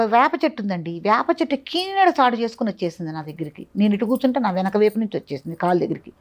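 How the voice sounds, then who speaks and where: The voice swings very widely in pitch, with a dry, close sound and no echo. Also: woman. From Andhra Pradesh, Nallamala forest region. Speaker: spiritual teacher at an ashram. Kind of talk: interview about personal spiritual experiences.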